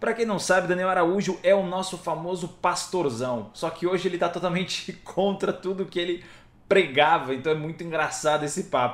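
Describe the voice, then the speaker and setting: This man speaks at a moderate pace in a high pitch. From Brazil, Ilhabela (São Paulo coast). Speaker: actor and comedian podcast host. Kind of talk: casual chat.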